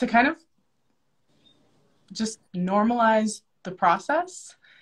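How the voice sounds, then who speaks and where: The woman's voice comes out somewhat breathy, with quiet all around it. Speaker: interview host. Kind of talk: interview introduction. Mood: warm, enthusiastic. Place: home room. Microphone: video call.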